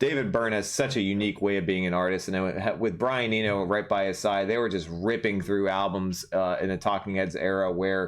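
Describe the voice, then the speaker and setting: A man's fairly low pitch at a fairly quick pace, with ordinary pitch variation. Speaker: music reaction podcast host. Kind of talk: channel outro announcements; casual album review chat. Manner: fast; frequent fillers and restarts.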